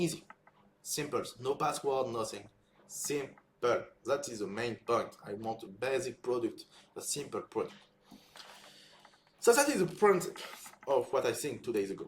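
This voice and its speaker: A man with a French accent at a moderate pace, with long, frequent pauses. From France. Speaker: software developer and content creator. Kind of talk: casual live build-in-public talk. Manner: halting.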